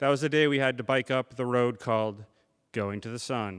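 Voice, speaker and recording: A man speaks at a fairly quick pace in a plain, everyday voice with ordinary pitch variation. The recording is very clean, with a silent background. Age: 30s. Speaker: storyteller. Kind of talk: live storytelling performance. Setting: live theater audience.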